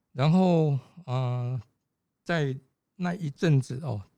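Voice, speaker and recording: A man's somewhat breathy, dark, mellow voice moves with ordinary pitch variation in a very clean recording with a silent background. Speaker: physician and patient safety advocate. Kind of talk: casual chat. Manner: halting.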